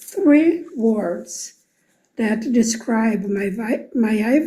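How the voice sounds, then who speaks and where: In a Portuguese accent, a woman speaks at a very slow pace with ordinary pitch variation. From Brazil. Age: 70s. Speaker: program alumna. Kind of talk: recorded video testimony. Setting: pre-recorded video.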